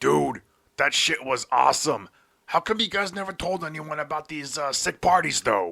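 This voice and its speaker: A man uses a put-on character voice. He speaks at a moderate pace with a fairly high pitch. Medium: read story. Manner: crude, cheeky.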